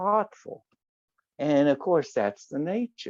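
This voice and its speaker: A fairly slow, lively-intoned delivery in a Southern US accent, dry and close with no echo. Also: man. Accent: Southern US (Oklahoma). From US South, Oklahoma. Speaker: religious teacher and guest speaker. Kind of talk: memorial talk, reminiscence. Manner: animated.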